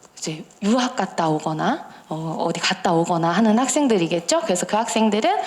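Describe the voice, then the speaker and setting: Through noticeable background noise, a woman talks at a fairly quick pace with very wide pitch swings. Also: medium pitch for a woman. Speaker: lecturer for parents. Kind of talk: lecture.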